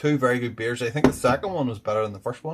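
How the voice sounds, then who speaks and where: Somewhat breathy, a man talks at medium pitch with ordinary pitch variation. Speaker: beer reviewer. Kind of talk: casual review vlog. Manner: deliberately enunciating, slightly slurred.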